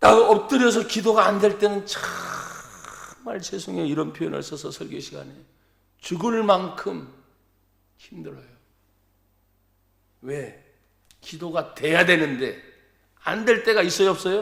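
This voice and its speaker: Heard with audible room echo, a man speaks at a high pitch and a very slow pace, leaving long, frequent pauses. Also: ordinary pitch variation, big swings in loudness. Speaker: pastor. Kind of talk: sermon. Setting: church. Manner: animated.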